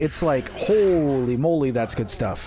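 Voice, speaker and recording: This is a man speaking with an American accent. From Minnesota. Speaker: gaming streamer. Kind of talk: casual chat. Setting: live stream. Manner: halting.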